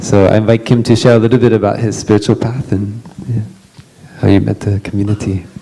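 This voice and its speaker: Against noticeable background noise, a man with a fairly low pitch speaks at a very fast pace with fairly even intonation. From Western country. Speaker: monastic panel moderator. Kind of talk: panel introduction at retreat. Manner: halting, many fillers.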